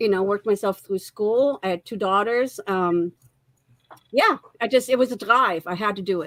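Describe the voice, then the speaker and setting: With a German accent and ordinary pitch variation, the voice moves at a moderate pace in a dry, close sound with no echo. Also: woman, medium pitch for a woman. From Germany, moved to the US at about age 10. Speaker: marriage and family therapist, author. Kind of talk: interview.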